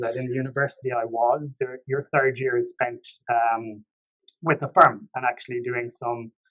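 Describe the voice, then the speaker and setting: A man talks at a moderate pace with an Irish accent. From Ireland, Limerick City. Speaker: tax professional. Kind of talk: podcast interview.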